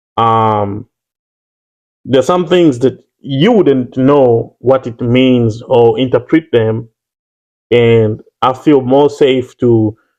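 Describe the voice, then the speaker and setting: A man with a Ugandan accent at a medium pitch. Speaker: YouTuber. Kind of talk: casual chat.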